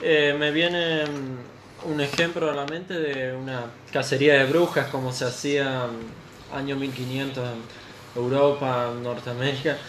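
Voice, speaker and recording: Over noticeable background noise and audible room echo, a man with a fairly high voice speaks at a fairly slow pace with fairly even intonation. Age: 20s. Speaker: radio guest. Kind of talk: casual chat. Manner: halting.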